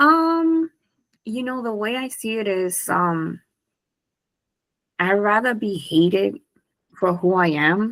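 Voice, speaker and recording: On a very clean recording with a silent background, a woman with a Honduran accent speaks very slowly at a medium pitch, her pitch swinging very widely between long, frequent pauses. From Honduras. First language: Spanish. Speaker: business owner. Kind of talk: interview.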